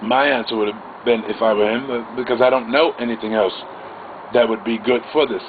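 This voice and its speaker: This man talks at a moderate pace with a medium pitch. Noticeable background noise runs underneath. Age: 50s. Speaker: vlogger. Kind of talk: monologue storytelling. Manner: halting.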